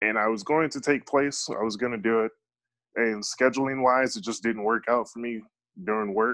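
Over a quiet background, a man with an American accent talks at a fairly quick pace in a normal speaking voice, with medium pitch and fairly even intonation. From Chicago. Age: 30s. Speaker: professional MMA fighter. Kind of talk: podcast interview.

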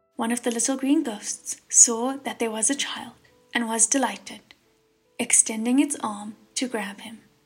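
A woman speaks at a fairly slow pace in a fairly high voice with fairly even intonation, music playing in the background. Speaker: audiobook narrator. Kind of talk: dramatic audiobook narration; scripted narration, audiobook reading.

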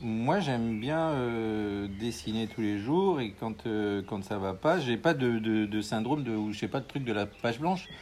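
A man speaks at a very slow pace with a fairly low pitch. His intonation is lively, and noticeable background noise is present. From France, Haute-Marne. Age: 50s. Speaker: comic book artist and painter. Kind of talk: casual interview. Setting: at his home, with birds.

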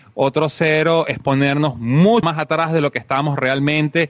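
A man talks in a plain, everyday voice, fairly high in pitch, with ordinary pitch variation and a moderate pace. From Venezuela. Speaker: motorsport podcast co-host. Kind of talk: casual chat.

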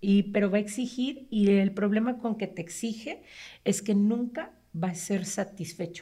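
A woman talks at a very slow pace in a dark, mellow tone that is somewhat breathy. Her pitch sits in the medium range and varies in an ordinary way. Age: 40s. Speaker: psychologist. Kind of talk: casual interview explaining psychology.

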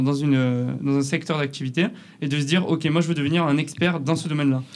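A man with a southern French accent speaks at a fairly quick pace. His pitch is fairly high, with ordinary variation. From southern France, near Perpignan. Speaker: photographer and videographer, agency co-founder. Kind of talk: casual interview. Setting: in person, La Rochelle.

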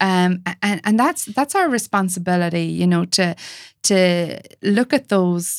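The sound is dry and close, with no echo. A woman of medium pitch speaks at a fairly slow pace. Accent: Irish. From Ireland. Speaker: intimacy coach. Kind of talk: casual chat. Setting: video call.

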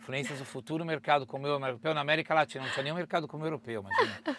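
A man talks at a very fast pace. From Brazil. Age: 50s. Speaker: travel content creator and presenter. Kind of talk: casual interview chat. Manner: animated.

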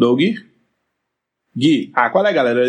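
This clip features a man. He talks at a fairly quick pace. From Belo Horizonte, Brazil. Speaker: podcast guest. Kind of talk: comedic skit.

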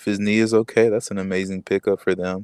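An ordinary speaking voice from a man, fairly low in pitch, at a moderate pace, with a dry, close sound and no echo. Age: 20s. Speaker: sports fan pundit. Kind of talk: casual chat. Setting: remote call during lockdown. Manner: frequent fillers (you know, um).

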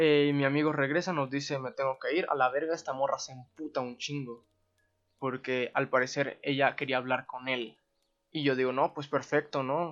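A man talks at a moderate pace in a Mexican accent, his pitch fairly high. His intonation stays monotone and flat. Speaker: podcast host. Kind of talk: solo storytelling monologue. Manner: casual, profanity-laden slang.

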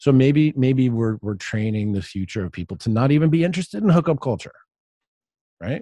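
The voice has a dark, mellow tone and very wide pitch swings. It moves at a fairly quick pace. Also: man, medium pitch for a man, dry, close sound with no echo. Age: 40s. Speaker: writer and podcaster. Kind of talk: interview conversation.

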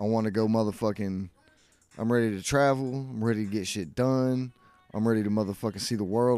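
A man with an American accent at a very fast pace, fairly even intonation, music in the background. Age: 40s. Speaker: podcast host. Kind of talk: casual chat. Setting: garage.

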